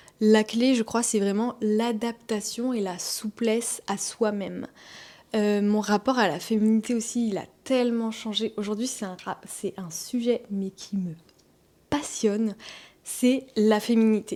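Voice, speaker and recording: In a very clean recording with a silent background, a woman speaks very slowly with a fairly high pitch and a dark, mellow tone. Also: fairly even intonation. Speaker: wellness vlogger and massage therapist. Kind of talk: personal testimony vlog.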